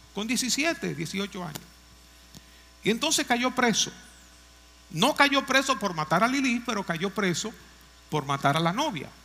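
Using a raised, projected voice, a man speaks at a high pitch with very wide pitch swings, moving at a fairly slow pace broken by long, frequent pauses. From Dominican Republic, Moca. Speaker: pastor. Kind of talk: sermon.

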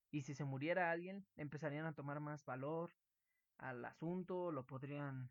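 Speaking with a Mexican accent, a man has a fairly high pitch and fairly even intonation, recorded as dry, close sound with no echo. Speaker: student podcast co-host. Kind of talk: casual chat.

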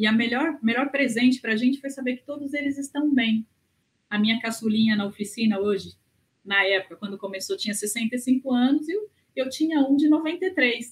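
A woman's high-pitched voice at a moderate pace. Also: lively intonation. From Brazil. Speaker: gerontologist and researcher. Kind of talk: interview. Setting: remote recording from home.

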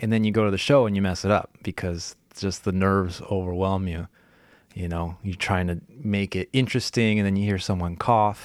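A man with a plain, everyday voice and an American accent, fairly low in pitch, at a moderate pace with fairly even intonation, on a very clean recording with a silent background. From California. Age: 20s. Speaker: professional musician and guitar teacher. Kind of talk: casual interview.

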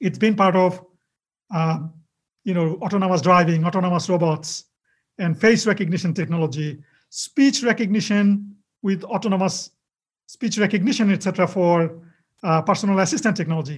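A man speaks at a fairly quick pace in a high voice, with ordinary pitch variation. Long pauses come often. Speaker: technology executive and engineer.

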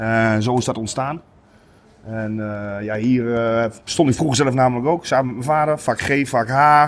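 A man uses an unremarkable speaking voice, keeping a moderate pace and a medium pitch. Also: ordinary pitch variation. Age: 30s. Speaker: football supporter. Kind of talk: casual interview.

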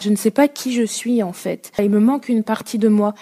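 Over noticeable background noise, a woman talks fairly slowly with fairly even intonation in a dry, close sound with no echo. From France, Saint-Étienne area. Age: 20s. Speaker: adoptee telling her story. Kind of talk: interview testimony.

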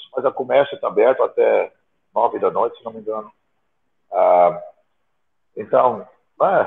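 Moderately paced speech from a man, with big swings in loudness and long, frequent pauses. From outside Brazil. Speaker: bodybuilding podcast co-host. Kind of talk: casual chat.

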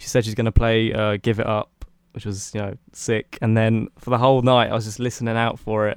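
Here is a man with a British accent. He speaks fairly quickly in a monotone, flat delivery. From UK. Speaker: music producer and student. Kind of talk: casual interview. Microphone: new microphone bought for podcast.

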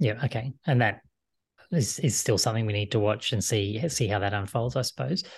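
A somewhat breathy man at a medium pitch, fairly quick, against a quiet background. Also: ordinary pitch variation, very even loudness. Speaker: finance show host. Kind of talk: scripted intro then interview; casual interview on finance.

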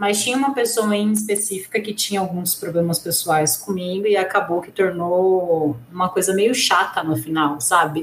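At a moderate pace and with hardly any pauses, a woman speaks with ordinary pitch variation over noticeable background noise. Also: medium pitch for a woman. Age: 30s. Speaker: sports journalist. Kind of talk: casual chat.

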